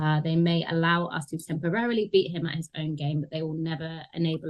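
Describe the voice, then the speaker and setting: Fairly quick speech with a London accent and fairly even intonation. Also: woman. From London, England (Tottenham). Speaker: anti-racism consultant. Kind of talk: interview conversation.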